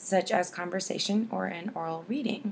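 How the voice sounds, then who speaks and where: A woman of medium pitch talks at a moderate pace with ordinary pitch variation over noticeable background noise. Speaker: speech science student. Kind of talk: class assignment presentation.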